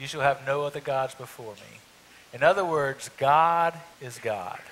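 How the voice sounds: A man speaks at a slow pace with lively intonation, a fairly bright tone and a medium pitch.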